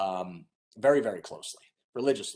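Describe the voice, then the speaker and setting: A man with vocal fry, at a very fast pace. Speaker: E-rate funding consultant. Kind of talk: webinar presentation.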